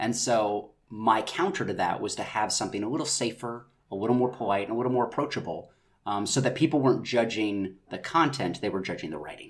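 This man speaks at a medium pitch with an American accent. His delivery is very fast, with lively intonation. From North Carolina. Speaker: actor, writer and director. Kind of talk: casual interview.

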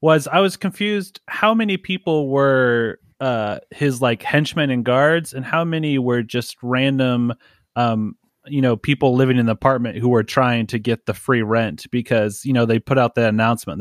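On a very clean recording with a silent background and a dry, close sound with no echo, a man with an ordinary speaking voice, medium pitch and ordinary pitch variation talks at a moderate pace. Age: 20s. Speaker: podcast host and comic book writer. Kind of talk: casual chat.

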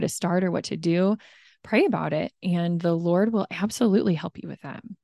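Close and dry with no echo, a woman's fairly low, dark, mellow voice moves at a fairly quick pace in a calm tone with fairly even intonation. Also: quiet background. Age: 30s. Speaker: stay-at-home mom and running coach. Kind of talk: interview testimony.

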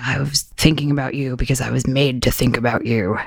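A put-on character voice, gruff and pitched low-to-middle. It moves at a fairly quick pace.

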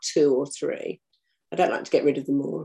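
In an English accent, a woman speaks at a fairly quick pace. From UK. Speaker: crime fiction author. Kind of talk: interview.

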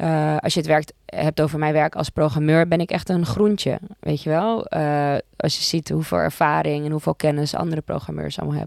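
A woman's very deep, low voice with ordinary pitch variation, dry and close with no echo. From Amsterdam, Netherlands. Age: 30s. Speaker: music supervisor for television. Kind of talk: casual interview. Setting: podcast studio.

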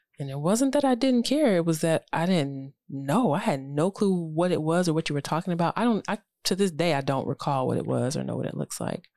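The voice has a dark, mellow tone and very wide pitch swings, with hardly any pauses, on a very clean recording with a silent background. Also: woman, fairly low pitch for a woman. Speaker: podcast host. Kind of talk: casual chat. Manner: soft-spoken.

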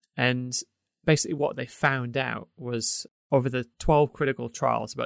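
The speaker keeps a moderate pace. The background is quiet. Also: man. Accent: English. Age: 30s. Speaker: podcast co-host. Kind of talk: casual chat.

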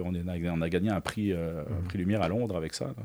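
The man's very deep, low voice carries a dark, mellow tone. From France, Paris. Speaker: lighting engineering entrepreneur. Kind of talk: interview conversation.

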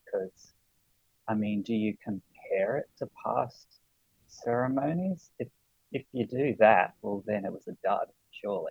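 A man with an Australian accent talks at a fairly slow pace in a dry, close sound with no echo. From Sydney, Australia. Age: 30s. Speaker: podcast guest, Olympics enthusiast. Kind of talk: casual chat. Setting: remote call.

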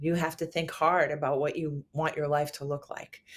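Speaking with a New York accent, a woman has a very deep, low pitch. Her pace is moderate. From New York City. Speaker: singer-songwriter. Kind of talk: interview. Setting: remote interview from New York City.

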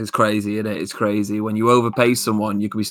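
A man speaks in a Lancashire accent at a medium pitch. His tone is bright and sharp. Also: very clean recording, silent background. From Lancashire, northern England. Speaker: podcast co-host. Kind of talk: casual chat.

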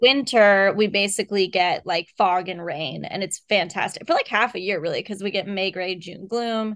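A woman with a plain, everyday voice and an American accent speaks at medium pitch and a moderate pace, with ordinary pitch variation and hardly any pauses. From Texas. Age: 30s. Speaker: horror novelist. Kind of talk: casual interview chat.

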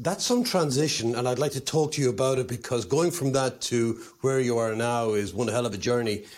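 A man's medium-pitched voice in an Irish accent, fairly quick with hardly any pauses, very even in loudness, with ordinary pitch variation. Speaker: podcast host. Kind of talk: interview.

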